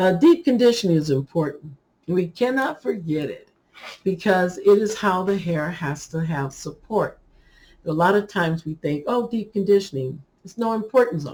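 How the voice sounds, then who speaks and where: Delivery comes at a moderate pace with lively intonation and big swings in loudness. The voice is somewhat breathy. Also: woman, medium pitch for a woman. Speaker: hair care YouTuber. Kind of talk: casual tutorial talk to camera. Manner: animated.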